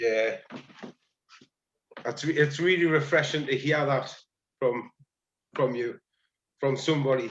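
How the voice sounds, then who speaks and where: Speaking fairly slowly with long, frequent pauses, a man with a strong Geordie accent has a fairly high voice and fairly even intonation. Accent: Geordie, thick. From northeast England (Tyneside). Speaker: paddling club member. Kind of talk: casual chat. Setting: video call.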